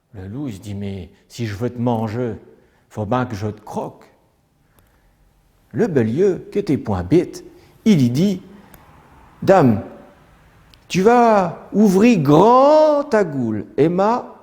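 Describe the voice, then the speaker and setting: At a very slow pace with long, frequent pauses, a man speaks at a fairly high pitch, his loudness and pitch both swinging widely. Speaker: storyteller. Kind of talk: traditional folk tale telling.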